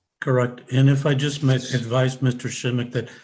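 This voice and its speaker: A man's somewhat breathy voice at a medium pitch and a fairly quick pace. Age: 60s. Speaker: defense attorney. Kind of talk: court hearing.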